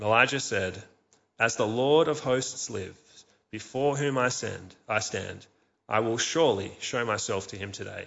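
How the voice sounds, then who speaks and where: At an unhurried yet unrushed tempo, this male speaker uses a plain, everyday voice, pitched in the middle range for a man and varying in pitch in an ordinary way. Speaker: church service leader. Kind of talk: scripture reading in church service. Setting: church.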